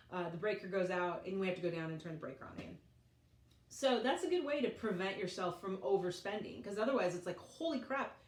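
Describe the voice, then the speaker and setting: A woman with an American accent and a medium pitch at a very fast pace, with lively intonation, big swings in loudness and noticeable background noise. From Colorado, United States. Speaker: vlogger, mother. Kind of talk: casual talk to camera.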